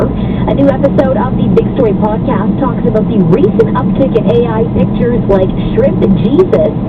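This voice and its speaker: Noticeable noise sits in the background. A woman speaks through it at a moderate speed. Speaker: radio news anchor. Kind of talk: radio news read.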